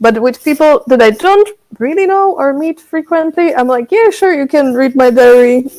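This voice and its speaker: Speaking at a moderate pace, a woman with a Slovak accent uses a high pitch with very wide pitch swings. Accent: Slovak accent when speaking English. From Slovakia. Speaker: songwriter. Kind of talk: casual interview chat.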